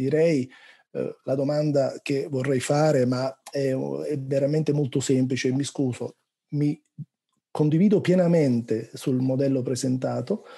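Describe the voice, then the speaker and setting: In a Neapolitan accent, a man speaks at a fairly slow pace with a fairly high pitch and fairly even intonation. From Naples, southern Italy. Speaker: researcher. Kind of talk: question in a webinar Q&A. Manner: hesitant, many fillers.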